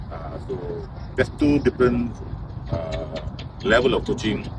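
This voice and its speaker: A man speaks over noticeable background noise. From Malaysia. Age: 60s. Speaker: football coach. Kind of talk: interview. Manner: halting.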